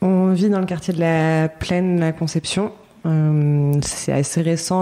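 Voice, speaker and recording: A woman with a fairly low pitch speaks with fairly even intonation. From Paris, France. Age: 30s. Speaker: artist, set designer and bookbinder. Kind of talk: podcast interview. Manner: hesitant, many fillers.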